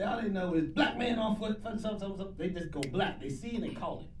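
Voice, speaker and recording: Lively intonation carries through audible room echo and noticeable background noise. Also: man. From US. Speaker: podcast co-host. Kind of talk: casual chat.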